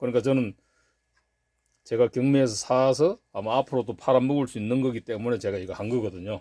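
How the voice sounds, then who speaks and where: A man with a medium pitch speaks at a moderate pace with ordinary pitch variation. His tone is dark and mellow, and the sound is dry and close with no echo. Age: 60s. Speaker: gun collector and YouTuber. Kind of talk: casual show-and-tell vlog.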